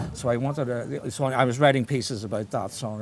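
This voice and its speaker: Someone with a Belfast accent talks at a very fast pace with ordinary pitch variation. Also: man. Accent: Belfast Northern Irish. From Northern Ireland, Belfast. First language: Irish. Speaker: writer. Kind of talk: interview conversation. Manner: halting, many false starts.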